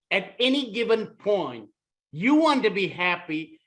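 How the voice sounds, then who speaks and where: A man speaks at a very slow pace in a high pitch. His intonation is lively. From Malaysia (Kuala Lumpur). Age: 60s. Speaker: author. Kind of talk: short inspirational talk.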